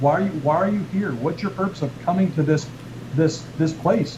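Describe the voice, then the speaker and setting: A man's fairly high-pitched voice amid noticeable background noise. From Canada. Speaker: chiropractor and author who teaches a healing technique. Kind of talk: explaining a health and wellness technique on a radio show. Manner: conversational, repeats words while explaining.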